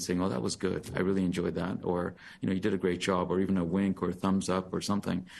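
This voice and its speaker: A man talks at a very fast pace in a very deep, low voice. The background is quiet. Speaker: physician giving equity training to a hiring committee. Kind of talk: presentation at a committee meeting.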